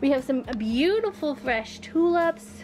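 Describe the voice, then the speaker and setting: Faint music plays behind a woman who speaks with ordinary pitch variation. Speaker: travel vlogger. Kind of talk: casual tour narration. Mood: cheerful, enthusiastic. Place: tent. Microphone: phone near.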